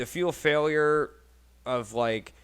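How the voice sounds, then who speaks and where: A man with an American accent speaks very slowly at a fairly high pitch. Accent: Buffalo accent, noticeable to others. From Buffalo, New York. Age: 30s. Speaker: podcast host. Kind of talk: casual chat.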